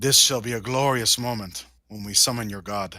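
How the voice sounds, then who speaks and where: In a very clean recording with a silent background, a man puts on a raspy character voice at a fairly slow pace. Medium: actual play. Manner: grandiose.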